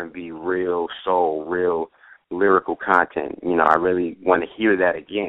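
Over a quiet background, a man with a very deep, low pitch talks at a moderate pace in a dry sound with no echo. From New York. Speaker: music producer. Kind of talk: interview. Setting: phone call. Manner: halting, many fillers. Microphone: phone line.

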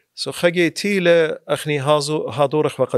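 In a dry recording with no echo and a quiet background, a man talks at a moderate pace. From Iraq, Kirkuk; Iraq. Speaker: attorney. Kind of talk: casual interview. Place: studio. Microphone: studio mic.

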